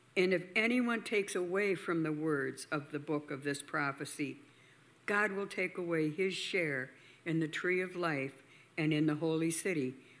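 At a moderate pace, a woman speaks with a very deep, low pitch. Her pitch variation is ordinary. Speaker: scripture reader. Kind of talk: reading aloud.

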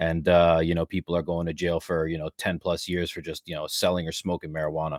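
A man with a Canadian accent talks at a fairly quick pace in a very deep, low pitch and a monotone, flat intonation, in a dry, close sound with no echo on a very clean recording with a silent background. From Canada, Ontario. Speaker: podcast host. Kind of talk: casual interview.

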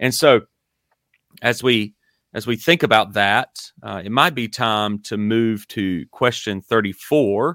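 In a Southern US accent, the voice has a bright, sharp tone and ordinary pitch variation at a very slow pace, with dry, close sound with no echo on a very clean recording with a silent background. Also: man, medium pitch for a man. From US South, Dillon, South Carolina. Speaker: podcast host, sports coach. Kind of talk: theological discussion. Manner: hesitant with many fillers.

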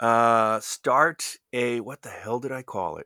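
A man with an American accent, medium pitch and a bright, sharp tone at a very slow pace, dry and close with no echo on a very clean recording with a silent background. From North Jersey, US. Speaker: radio professional, college radio alumnus. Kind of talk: interview reminiscing. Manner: halting, many fillers and restarts.

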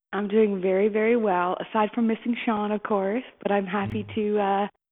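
A woman with a plain, everyday voice at a moderate pace. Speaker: podcast co-host, writer. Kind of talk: casual interview.

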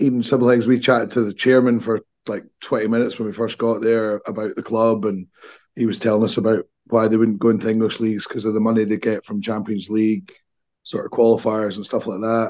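Talking at a fairly quick pace in a Scottish accent, a man keeps a medium pitch and a flat, monotone intonation. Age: 40s. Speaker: football podcast co-host. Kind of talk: casual chat.

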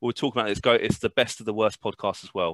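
Over a quiet background, a man with a British accent speaks at a very fast pace. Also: dry, close sound with no echo. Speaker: podcast host. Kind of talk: casual podcast chat.

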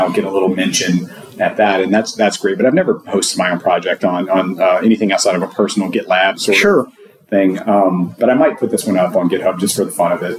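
This man speaks very fast. Noticeable background noise runs behind him. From Louisiana. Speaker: site reliability engineer. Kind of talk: casual interview. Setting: at a conference.

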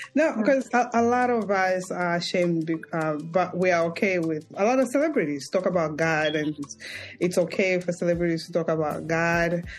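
A woman's fairly low voice in a warm, enthusiastic tone, with lively intonation, a fairly quick pace and music in the background. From immigrant to the US. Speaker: podcast host. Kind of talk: interview.

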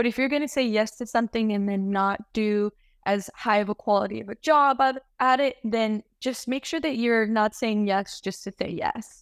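In an American accent, this is an ordinary speaking voice at a moderate pace with ordinary pitch variation. The sound is dry and close with no echo, and there are hardly any pauses. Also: woman, fairly high pitch for a woman, very clean recording, silent background. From Lake Tahoe area, US West. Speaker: medical student. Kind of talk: casual interview.

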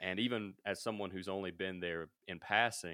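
With a very deep, low pitch and fairly even intonation, a man speaks at a moderate pace in an American accent. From US South, Mississippi. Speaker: podcast host and media company founder. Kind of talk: casual chat. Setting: remote call.

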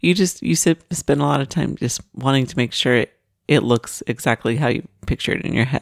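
Her pitch is very deep and low, with vocal fry and very wide swings, as this woman speaks at a fairly quick pace. The sound is dry and close, with no echo. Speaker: podcast co-host, wife. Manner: laughs often, chatty.

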